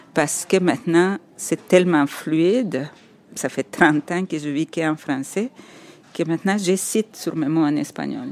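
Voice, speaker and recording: A woman speaks in a very deep, low voice. Her pace is fairly slow. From El Salvador. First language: Spanish (speaking French). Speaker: architect and writer. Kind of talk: interview, personal storytelling. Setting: on location walking around Montreal. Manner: halting, repeats words.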